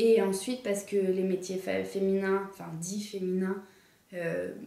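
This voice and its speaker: Against noticeable background noise and audible room echo, a woman talks fairly slowly at medium pitch with a monotone, flat intonation. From France, Dijon. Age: 20s. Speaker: engineering student. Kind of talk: interview testimony. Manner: hesitant, many filler sounds.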